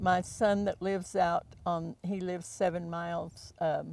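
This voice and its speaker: A woman with an American accent, fairly low pitch and monotone, flat intonation at a very slow pace. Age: 80s+. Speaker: local resident, former newspaper reporter. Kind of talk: interview.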